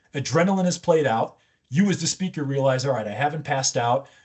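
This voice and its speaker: Talking at a fairly quick pace, a man with a fairly high pitch shows ordinary pitch variation. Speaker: communications coach. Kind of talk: interview. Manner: loud; energetic.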